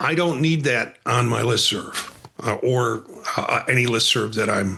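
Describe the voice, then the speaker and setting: Over noticeable background noise, a man talks at a fairly slow pace and medium pitch, with ordinary pitch variation and very even loudness. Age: 60s. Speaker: counselor educator and podcaster, former radio worker. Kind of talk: casual conversation.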